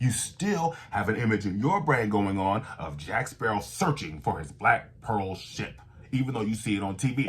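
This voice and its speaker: A man talks at a moderate pace in a fairly low pitch with lively intonation. His voice is somewhat breathy, with hardly any pauses. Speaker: voice-over coach and channel host. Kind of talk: voice-over tutorial. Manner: animated.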